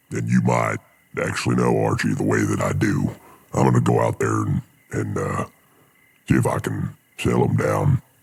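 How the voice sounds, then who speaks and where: A raspy, put-on character voice from a man, very deep and low in pitch, monotone and flat, at a moderate pace with long, frequent pauses. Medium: actual play. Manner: folksy, laid-back.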